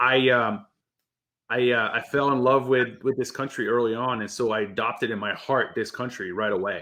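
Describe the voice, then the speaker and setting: Speaking at a moderate pace with a French accent, a man with a medium-pitched voice has a bright, sharp tone and fairly even intonation against a quiet background. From France, Paris area. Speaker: war veteran. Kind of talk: interview. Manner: casual, halting with self-repeats.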